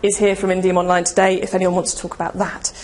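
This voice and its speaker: A medium-pitched woman's voice amid audible room echo and noticeable background noise. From Cornwall, England. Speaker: ecommerce marketing speaker and author. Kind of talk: conference presentation. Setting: stage with audience.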